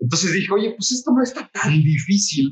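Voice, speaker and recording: Speaking in a Mexico City accent, this is a man. He talks at a fairly quick pace. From Mexico City (Coyoacán). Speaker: chef and coffee roaster. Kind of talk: casual interview.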